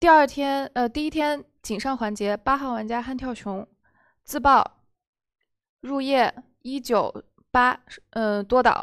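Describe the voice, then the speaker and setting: Against a quiet background, a woman with a high pitch talks very slowly, with long, frequent pauses and ordinary pitch variation. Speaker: werewolf game moderator. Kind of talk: game moderation. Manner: formal. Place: studio.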